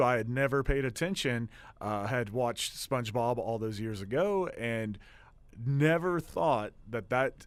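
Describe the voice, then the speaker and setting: A man with an Oklahoma accent, medium pitch and lively intonation, on a very clean recording with a silent background. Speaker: student radio host. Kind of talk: casual radio show monologue. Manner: hesitant, many fillers.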